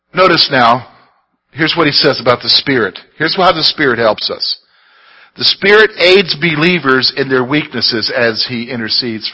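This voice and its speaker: With a South Carolina accent, a man talks at a moderate pace in an animated tone, his fairly high pitch carried by lively intonation and big swings in loudness. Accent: Southern US (South Carolina). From US South, South Carolina (Columbia, Sand Hills). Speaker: pastor / Bible teacher. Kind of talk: sermon / Bible study lesson. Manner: animated, exhorting.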